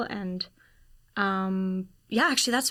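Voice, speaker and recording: In a very clean recording with a silent background, a woman speaks in a bright, sharp tone at a moderate pace. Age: 20s. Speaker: actor and filmmaker. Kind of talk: podcast interview. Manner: casual, frequent fillers.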